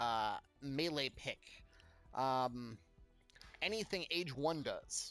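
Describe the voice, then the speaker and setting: Over music in the background, a man talks in an energetic tone with lively intonation. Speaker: video game content creator. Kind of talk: casual gameplay explainer. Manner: energetic, unscripted.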